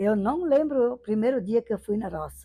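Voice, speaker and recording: With lively intonation, a woman speaks in a somewhat breathy voice with a dark, mellow tone. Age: 70s. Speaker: interviewee sharing life memories. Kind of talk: oral history testimony. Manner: conversational, frequent fillers.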